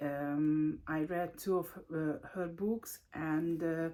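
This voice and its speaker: In a Hungarian accent, a woman speaks with a fairly low pitch. Her pace is very slow. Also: very clean recording, silent background. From Hungary. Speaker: book vlogger. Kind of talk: casual video monologue. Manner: halting, many fillers.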